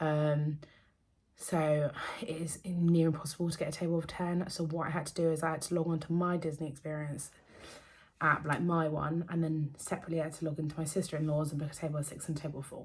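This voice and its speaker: A woman's very deep, low voice with an English accent, monotone and flat, at a very fast pace. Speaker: vlogger. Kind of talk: casual chat. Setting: at home.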